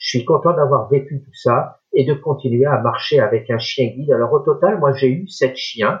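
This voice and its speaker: At a moderate pace with hardly any pauses, a man with a fairly high, somewhat breathy voice shows ordinary pitch variation and big swings in loudness. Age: 60s. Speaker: retired blind guide dog user. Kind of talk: interview conversation.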